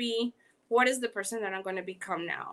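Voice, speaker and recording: Bright and sharp, a woman's fairly high, animated voice with a Panamanian accent moves at a moderate pace on a very clean recording with a silent background. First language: Spanish. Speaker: podcast host. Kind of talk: interview. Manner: halting.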